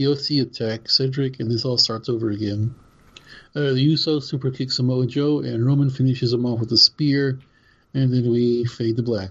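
At a moderate pace, a man with a medium-pitched, somewhat breathy voice speaks with fairly even intonation. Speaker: podcast co-host. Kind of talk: casual podcast chat, show recap.

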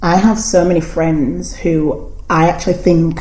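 There is noticeable background noise and audible room echo as a woman with a fairly low pitch speaks at a fairly slow pace. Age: 20s. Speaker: podcast host. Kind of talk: casual interview chat. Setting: at a friend's house. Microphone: cheap microphone, poor sound quality.

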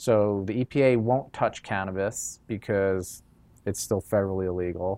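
A man in a normal speaking voice with an American accent, moderate pace and fairly even intonation, in a very clean recording with a silent background. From New York. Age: 30s. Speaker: cannabis lab founder and CEO. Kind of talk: interview. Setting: in the lab.

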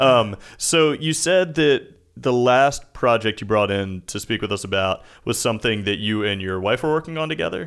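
A man with an unremarkable speaking voice at medium pitch, lively intonation, a moderate pace with hardly any pauses, and a very clean recording over a silent background. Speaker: podcast co-host. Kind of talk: casual interview.

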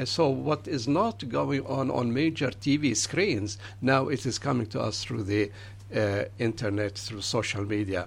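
The pace is fairly slow, with vocal fry. Intonation stays lively throughout. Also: man, fairly low pitch for a man. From Palestine, Jerusalem. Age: 70s. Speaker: pastor. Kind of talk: radio interview. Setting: studio.

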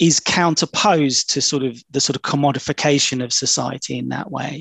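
Speaking with a British accent, a man uses a fairly high pitch and fairly even intonation at a moderate pace. His voice carries vocal fry, and the sound is dry and close with no echo. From UK. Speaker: academic podcast host. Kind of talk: academic interview. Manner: halting.

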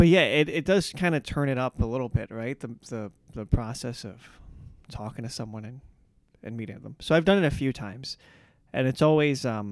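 A man with a plain, everyday voice talks at a fairly quick pace and medium pitch. His intonation is lively, and his loudness swings a great deal. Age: 30s. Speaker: comedian and podcast host. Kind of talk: casual chat.

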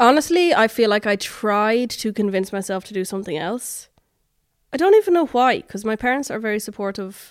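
On a very clean recording with a silent background, a woman with an Irish accent speaks at a fairly quick pace, her fairly high pitch carrying lively intonation. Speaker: singer-songwriter. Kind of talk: interview.

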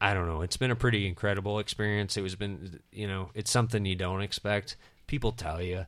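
A man with an American accent speaks fairly quickly at a fairly low pitch. His intonation stays fairly even in a very clean recording with a silent background. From US (Tennessee, Nebraska, Nevada, Texas). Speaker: podcast guest and co-host. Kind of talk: casual chat. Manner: halting, many fillers.

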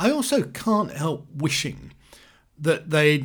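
A man speaks with very wide pitch swings. His voice is somewhat breathy. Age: 60s. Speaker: film reviewer podcaster. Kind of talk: monologue review. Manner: hesitant, many fillers.

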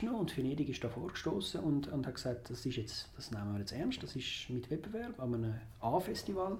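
Against noticeable background noise, a man with a Zurich accent speaks at a fairly high pitch with very wide pitch swings. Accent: Zurich Swiss German. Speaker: film critic. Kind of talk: casual chat.

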